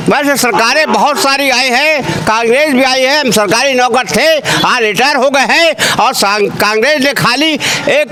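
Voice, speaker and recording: A man speaks in a raised, projected voice at an extremely high pitch, with ordinary pitch variation. Noticeable background noise runs underneath. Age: 70s. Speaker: retired government employee, street interviewee. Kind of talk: street vox pop interview. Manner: animated.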